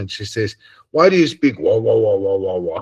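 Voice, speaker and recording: Against a quiet background, a man with a South African accent sounds somewhat breathy, his pitch varying in an ordinary way. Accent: South African Afrikaans English. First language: Afrikaans. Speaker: religious study group leader. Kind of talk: casual chat. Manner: halting.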